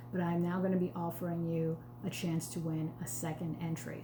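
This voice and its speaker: Room echo is audible as a woman with an American accent speaks at a fairly low pitch. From New York, the Bronx. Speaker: sales consultant. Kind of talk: live cooking demo. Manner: slightly slurred pronunciation; casual, chatty.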